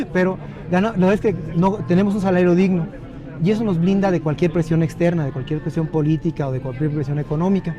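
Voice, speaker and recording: Music can be heard in the background. The talking is very fast, and the pitch varies in an ordinary way. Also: man, high pitch for a man. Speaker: judge. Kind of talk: interview. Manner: halting.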